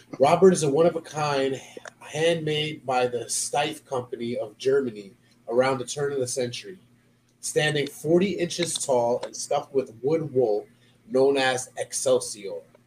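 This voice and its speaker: Against noticeable background noise, a man speaks fairly slowly at a fairly high pitch. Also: ordinary pitch variation. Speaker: podcast host. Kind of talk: reading aloud.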